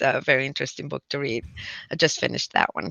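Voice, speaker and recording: This woman has a Spanish accent. Her intonation is fairly even. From Puerto Rico, countryside. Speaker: physician and public health professor. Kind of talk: interview conversation. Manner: halting, many fillers and restarts.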